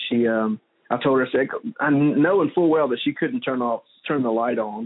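A man speaks with fairly even intonation and some vocal fry.

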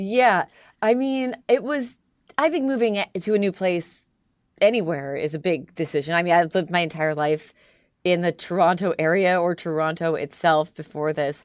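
In an ordinary speaking voice, a woman with a Canadian accent talks at a moderate pace. Her fairly low pitch carries lively intonation over a very clean recording with a silent background. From Canada. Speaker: radio host. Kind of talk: casual interview chat.

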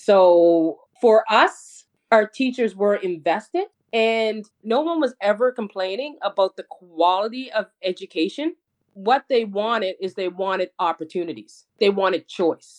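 At a fairly slow pace, a woman with a Nova Scotian accent speaks with lively intonation. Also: medium pitch for a woman. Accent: Canadian English (Nova Scotia). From Nova Scotia, Canada. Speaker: educator and community advocate. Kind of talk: interview.

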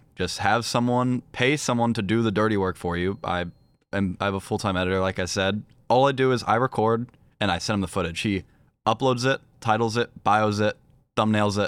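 With an American accent, a man talks in a plain, everyday voice at a fairly low pitch, a fairly quick pace and fairly even intonation. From Virginia, US. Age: young. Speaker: professional esports player. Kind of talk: casual chat.

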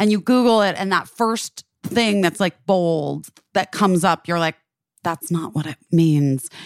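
A woman speaks in a plain, everyday voice at a fairly low pitch. Her pace is fairly slow, with ordinary pitch variation. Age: 40s. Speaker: podcast co-host. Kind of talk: casual chat.

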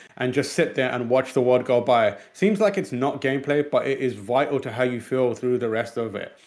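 A man of medium pitch with an East London accent. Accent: East London British English. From born in Pakistan, raised in England. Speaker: video game news show host. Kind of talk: casual chat. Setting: studio.

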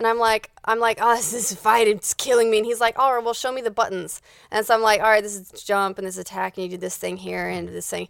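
Talking at a very fast pace with hardly any pauses, a woman keeps a fairly high pitch and fairly even intonation, with big swings in loudness, on a very clean recording with a silent background. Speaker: podcast host.

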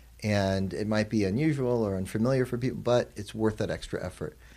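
Here a man talks with an American accent and a fairly low pitch. The recording is very clean, with a silent background. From Arizona, US. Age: 40s. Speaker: president of an Islamic graduate college. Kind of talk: interview.

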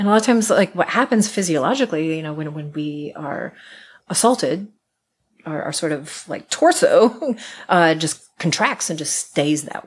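A woman with an American accent and an unremarkable speaking voice talks at a moderate pace with a fairly low pitch and lively intonation, in a very clean recording with a silent background. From US Midwest, Iowa. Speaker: musician and folklorist. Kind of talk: interview conversation. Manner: repetitive, restarts words.

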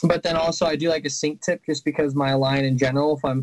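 A man with an American accent at a very fast pace, fairly high in pitch, in a monotone, flat intonation. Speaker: college student and fly fishing guide. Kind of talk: casual chat.

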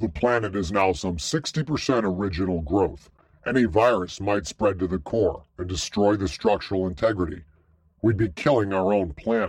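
Against a quiet background, a man puts on a character voice at a fairly low pitch and a moderate pace. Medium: read story. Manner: formal, precise, informative.

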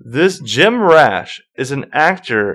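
A man is speaking. He has an American accent. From US South, Charlotte, North Carolina. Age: 20s. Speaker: podcast host. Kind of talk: casual chat; trivia quiz hosting.

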